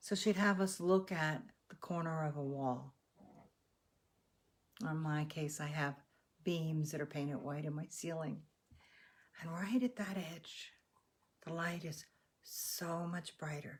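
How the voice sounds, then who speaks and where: In an American accent, a woman with a very deep, low pitch and a somewhat breathy sound speaks at a fairly slow pace, with ordinary pitch variation and long, frequent pauses. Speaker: meditation guide. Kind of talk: guided meditation. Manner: calm, slow, instructive.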